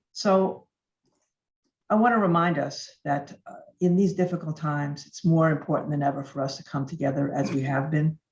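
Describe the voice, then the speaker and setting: A woman speaks with a very deep, low pitch. Her voice is somewhat breathy. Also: ordinary pitch variation, moderate pace. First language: Yiddish and Russian. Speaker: speaker. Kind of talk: speech.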